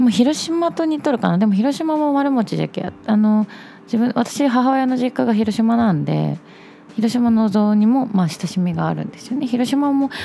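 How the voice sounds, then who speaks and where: The intonation here is lively. It comes from an ordinary speaking voice at a moderate pace. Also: woman, fairly high pitch for a woman. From Japan, Chugoku region (Shimane/Okayama). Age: 20s. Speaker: podcast host. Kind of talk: solo casual monologue.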